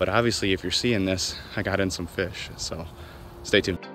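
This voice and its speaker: Set to music in the background, the speech has a dry sound with no echo, fairly even intonation and a fairly quick pace. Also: man. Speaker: fishing vlogger. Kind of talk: casual vlog chat. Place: waterside. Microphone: phone near.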